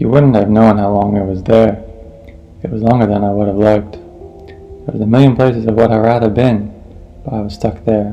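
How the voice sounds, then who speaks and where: A man's fairly low voice at a moderate pace, with fairly even intonation and music in the background. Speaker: audiobook narrator. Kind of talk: audiobook reading. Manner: dramatic reading.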